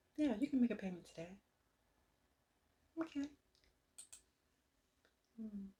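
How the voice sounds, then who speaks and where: A soft-spoken, somewhat breathy woman's voice with a dark, mellow tone and ordinary pitch variation. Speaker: ASMR creator doing customer service roleplay. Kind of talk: customer service phone roleplay.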